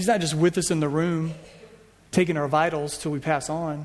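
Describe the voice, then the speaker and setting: A man with an American accent talks in a fairly high pitch for a man. Audible room echo surrounds his voice. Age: 40s. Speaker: pastor. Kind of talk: sermon. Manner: casual.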